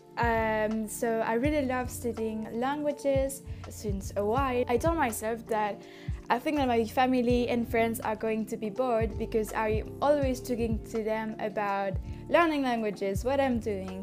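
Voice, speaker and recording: Over music in the background, a woman with a non-native accent speaks fairly slowly in a fairly high voice with ordinary pitch variation. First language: French. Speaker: language learner. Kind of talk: casual talk to camera.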